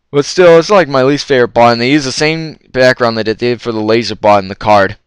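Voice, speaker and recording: A man with a medium-pitched voice speaks very fast, with ordinary pitch variation. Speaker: retro game collector and reviewer. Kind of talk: unscripted card review talk.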